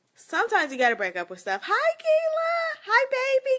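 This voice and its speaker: Speaking in an American accent, the voice is animated, with very wide pitch swings at a very fast pace. Noticeable background noise is present. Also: woman. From Flint, Michigan. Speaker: live streamer. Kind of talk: casual live stream chat.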